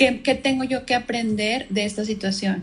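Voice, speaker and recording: A woman speaks with a Mexican accent in a somewhat breathy voice. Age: 30s. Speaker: marketing professional, cancer survivor. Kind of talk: casual interview chat. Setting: Instagram live video call.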